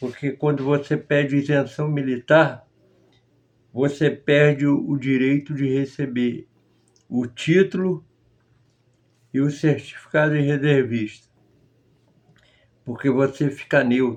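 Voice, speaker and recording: Speech comes at a very slow pace with fairly even intonation and long, frequent pauses. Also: man, fairly high pitch for a man. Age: 60s. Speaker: former member of a religious group. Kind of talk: testimony.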